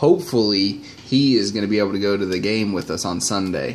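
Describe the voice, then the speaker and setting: Fairly low male voice, its pitch varying in an ordinary way. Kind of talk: casual vlog chat. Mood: upbeat, excited about trip. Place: home room.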